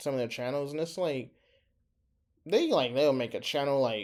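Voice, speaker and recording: The background is silent and the recording very clean. A man talks. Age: 20s. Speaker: small YouTuber. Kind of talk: casual vlog monologue. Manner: halting, hesitant.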